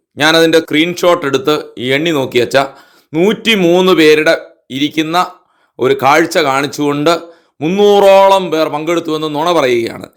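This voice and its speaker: Here a man with a normal speaking voice talks at a fairly high pitch with ordinary pitch variation. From Thalassery, Kerala. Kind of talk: complaint phone call.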